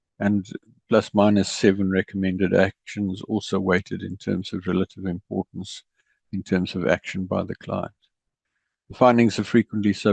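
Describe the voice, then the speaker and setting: In a South African accent, the speaker talks at a moderate pace with monotone, flat intonation, a dry, close sound with no echo, and a quiet background. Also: man. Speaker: ERP consultant. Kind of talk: presentation.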